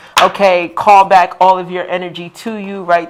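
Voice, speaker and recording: Over noticeable background noise, a woman speaks at a medium pitch in a monotone, flat intonation. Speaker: tarot card reader. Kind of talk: live stream tarot reading. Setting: livestream. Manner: fast.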